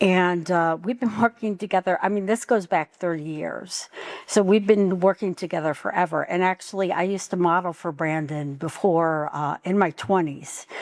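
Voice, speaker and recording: At a moderate pace and with hardly any pauses, a woman speaks at a fairly low pitch with ordinary pitch variation. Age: 60s. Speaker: poet. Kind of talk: book launch speech. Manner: halting, many fillers.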